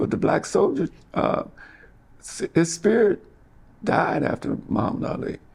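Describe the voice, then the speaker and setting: Noticeable background noise surrounds a man with an American accent. He speaks at a moderate pace with long, frequent pauses. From US Midwest, Kansas City. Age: 70s. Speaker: author and retired teacher. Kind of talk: interview. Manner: halting, repeats words.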